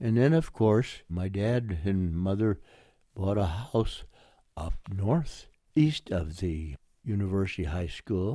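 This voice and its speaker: In an American accent, a man talks at a very slow pace, his fairly low voice carrying a dark, mellow tone and lively intonation. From Oakland, California. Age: 90s. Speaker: war veteran. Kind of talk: oral history interview, recalling WWII. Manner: elderly, conversational.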